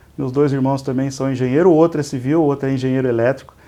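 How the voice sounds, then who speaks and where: A man's voice with a dark, mellow tone. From Brazil, interior of São Paulo state (Igarapava, near Minas Gerais). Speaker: business executive, civil engineer. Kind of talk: interview. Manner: halting, many repetitions and fillers.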